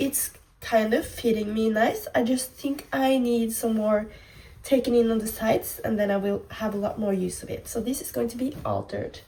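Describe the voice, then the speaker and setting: Speaking at a moderate pace, a woman talks with a Norwegian accent. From Norway. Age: 20s. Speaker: fashion vlogger. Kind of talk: casual vlog try-on.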